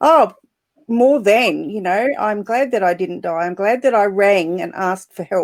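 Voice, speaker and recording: With ordinary pitch variation, a woman talks at a moderate pace and a medium pitch. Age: 60s. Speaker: panel guest sharing mental health experience. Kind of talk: personal testimony in panel discussion. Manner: halting, many fillers.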